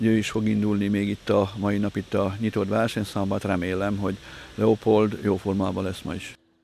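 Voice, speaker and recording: This man's voice has a dark, mellow tone. He talks at a fairly quick pace with monotone, flat intonation. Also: fairly low pitch for a man. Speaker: equestrian event organizer. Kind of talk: interview statement.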